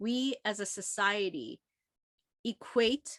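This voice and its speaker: A woman speaks with lively intonation. The recording is very clean with a silent background and a dry, close sound with no echo. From South Korea, came to US at 11. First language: Korean. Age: 50s. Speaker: author. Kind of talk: book club interview.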